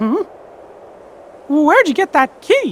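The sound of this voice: A cartoonish character voice speaks at a high pitch.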